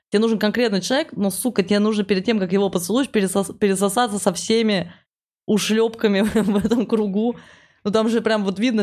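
Speaking in an ordinary speaking voice, a woman keeps a medium pitch and fairly even intonation at a fairly quick pace. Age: 20s. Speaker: stand-up comedian. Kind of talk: casual chat.

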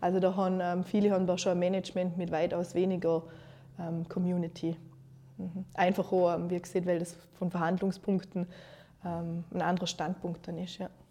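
At a moderate pace with long, frequent pauses, a woman speaks at a fairly low pitch in a dark, mellow tone with monotone, flat intonation. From Austria, Vorarlberg, Montafon (Gargellen). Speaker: communication designer and young entrepreneur. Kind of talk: interview.

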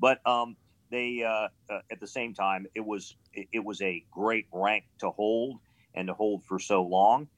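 A plain, everyday voice with an American accent at a fairly slow pace. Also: man, fairly low pitch for a man. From Pittsburgh, Pennsylvania and Ohio. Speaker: retired military colonel. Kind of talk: casual interview chat. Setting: video call.

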